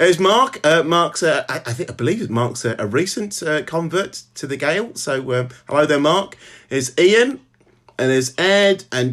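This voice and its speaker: Talking at a fairly slow pace in a Birmingham accent, a man uses a fairly high pitch and lively intonation. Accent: Birmingham (Brummie), clear. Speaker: novelist. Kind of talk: casual chat. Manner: halting, many fillers.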